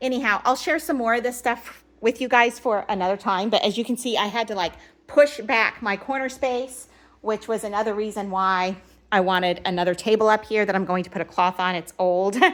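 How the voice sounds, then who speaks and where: Delivered at a fairly quick pace with ordinary pitch variation, a plain, everyday voice comes through in a very clean recording against a silent background. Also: woman, fairly high pitch for a woman. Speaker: home and party organizing vlogger. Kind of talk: casual show-and-tell vlog. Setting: at home. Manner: chatty, self-correcting.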